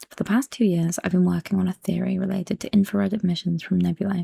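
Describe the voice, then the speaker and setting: Soft-spoken and somewhat breathy, a woman talks at a very fast pace in a dark, mellow tone of medium pitch, her intonation fairly even, in a dry, close sound with no echo. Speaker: ASMR creator. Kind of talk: book reading to help sleep.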